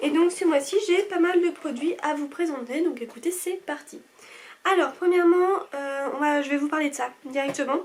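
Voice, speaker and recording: Speaking at a moderate pace, a woman uses a high pitch with ordinary variation. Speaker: beauty vlogger. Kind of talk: casual product review vlog. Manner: calmer, less peppy than usual.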